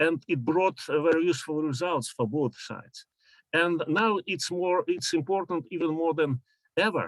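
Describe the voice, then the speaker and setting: Heard in a dry, close sound with no echo, a man with a Russian accent speaks at a high pitch. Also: ordinary pitch variation, moderate pace. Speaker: professor. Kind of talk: conference talk. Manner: halting.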